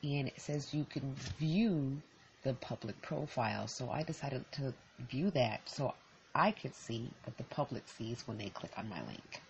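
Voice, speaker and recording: This woman has a very deep, low pitch and a somewhat breathy voice with an American accent. She talks at a moderate pace with lively intonation. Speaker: podcaster. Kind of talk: solo podcast monologue, casual and reflective. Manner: conversational, reflective, off the cuff.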